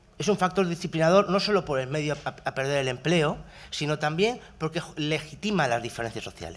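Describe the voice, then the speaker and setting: An unremarkable speaking voice belongs to a man with a fairly high pitch. He talks at a fairly quick pace with ordinary pitch variation. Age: 30s. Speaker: university researcher; speaker. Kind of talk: talk at a workshop panel. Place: hall. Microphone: podium.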